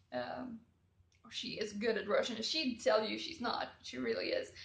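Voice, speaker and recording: The speaker has a Swedish accent. The pace is fairly slow. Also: woman. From Sweden. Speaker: travel vlogger. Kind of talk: casual storytelling. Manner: hesitant with fillers.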